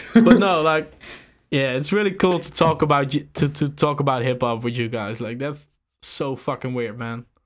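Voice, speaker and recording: On a very clean recording with a silent background, a man with a Dutch accent speaks at a moderate pace, his fairly high pitch moving in lively intonation. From Netherlands. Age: 30s. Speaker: beatmaker and label founder. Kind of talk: casual chat.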